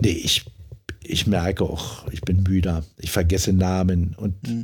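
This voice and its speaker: A man speaks slowly in a very deep, low voice that is somewhat breathy. His intonation is fairly even, and the recording is very clean with a silent background. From Frankfurt (Oder), East Germany. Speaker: member of parliament. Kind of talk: interview. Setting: home study.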